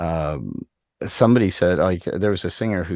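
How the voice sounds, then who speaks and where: Very deep and low, a man's voice carries lively intonation at a moderate pace, with a dry, close sound, no echo and a quiet background. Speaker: music producer and singer. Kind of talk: casual chat.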